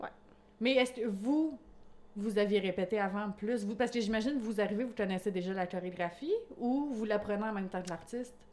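With a Quebec accent, a woman speaks at a fairly high pitch with ordinary pitch variation. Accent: Québécois French. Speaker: podcast host. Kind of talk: casual chat.

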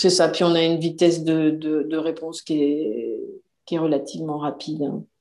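A woman with a very deep, low pitch and a dark, mellow tone talks at a moderate pace in a monotone, flat intonation. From France. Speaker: self-publishing business owner. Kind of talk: interview.

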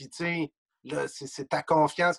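Heard dry and close with no echo, a man speaks in a plain, everyday voice at a fairly high pitch, keeping a fairly slow pace and fairly even intonation. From Quebec, Trois-Pistoles (Lower St. Lawrence). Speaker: sports journalist and author. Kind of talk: casual interview.

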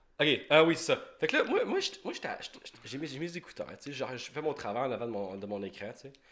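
A man with a Quebec accent, fairly high pitch, lively intonation, big swings in loudness and a fairly quick pace, against noticeable background noise. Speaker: podcast host. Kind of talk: casual chat. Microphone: sound cutting out.

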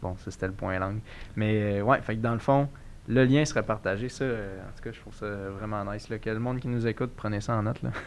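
Talking at a fairly quick pace with long, frequent pauses, a man uses fairly low pitch and fairly even intonation, his loudness swinging widely. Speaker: podcast host. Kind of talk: casual chat.

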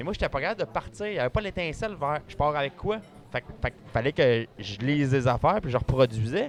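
In a Quebec accent, a man speaks at a fairly quick pace with a fairly high pitch. His pitch swings very widely. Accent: Québécois French. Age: 30s. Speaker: magician. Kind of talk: casual chat. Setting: restaurant.

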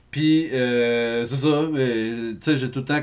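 A man talks in an ordinary speaking voice at a medium pitch. His intonation stays fairly even. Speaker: podcast co-host. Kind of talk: casual chat.

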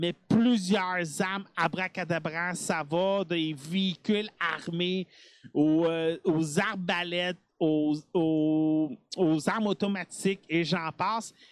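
Speaking very slowly with a Quebec accent, a man with a high pitch keeps his intonation fairly even, on a very clean recording with a silent background and a dry, close sound with no echo. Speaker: gaming podcast host. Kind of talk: casual chat. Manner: hesitant, many filler sounds.

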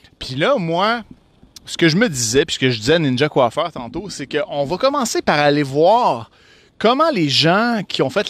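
A man speaks very slowly in a fairly high voice with very wide pitch swings. The recording is very clean, with a silent background. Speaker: podcast host. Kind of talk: casual chat. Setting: outdoors. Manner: animated.

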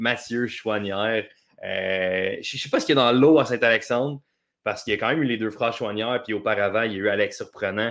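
On a very clean recording with a silent background, a man with a Quebec accent speaks fairly quickly at a medium pitch with fairly even intonation. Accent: Québécois French. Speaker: soccer columnist. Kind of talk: casual chat.

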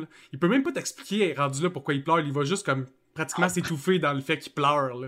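The speech races along at a very fast pace with a bright, sharp tone and ordinary pitch variation. The recording is very clean, with a silent background. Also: man. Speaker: YouTube channel host. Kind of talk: casual chat.

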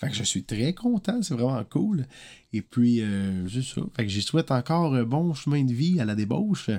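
With a Quebec accent, a man speaks in a dark, mellow tone, his pitch swinging very widely. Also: medium pitch for a man, moderate pace. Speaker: singer-songwriter podcaster. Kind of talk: casual monologue podcast. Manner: casual, hesitant with fillers.

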